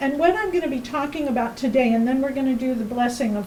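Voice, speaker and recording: A loud, high-pitched woman's voice with lively intonation, audible room echo and noticeable background noise. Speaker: workshop teacher. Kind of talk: presentation. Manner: loud, projected; halting.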